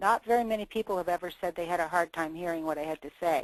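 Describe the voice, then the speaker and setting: A woman's medium-pitched voice, lively in intonation, with a dry, close sound and no echo. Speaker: state government program director. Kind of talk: webinar presentation. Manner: soft-spoken.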